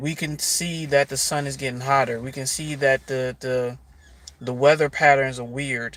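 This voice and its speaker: This man's pitch is medium. He speaks with flat, monotone intonation. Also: moderate pace. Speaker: spiritual life coach. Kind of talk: livestream monologue. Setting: live stream. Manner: casual, conversational.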